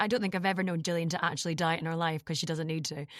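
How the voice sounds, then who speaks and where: In a Scottish accent, a woman speaks with a dry, close sound and no echo. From Scotland. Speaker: podcast host, voiceover actor. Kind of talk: casual interview.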